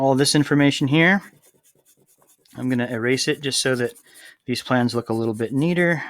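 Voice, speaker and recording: A medium-pitched man speaking at a fairly quick pace with ordinary pitch variation and long, frequent pauses. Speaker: high school construction teacher. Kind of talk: tutorial. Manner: fast; casual with fillers.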